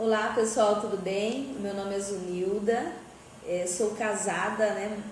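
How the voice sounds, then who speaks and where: Audible room echo and noticeable background noise surround a woman's voice. She talks fairly slowly at medium pitch with fairly even intonation. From Paraguay-Brazil border (Mato Grosso do Sul). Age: 40s. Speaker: schoolteacher. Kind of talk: testimony.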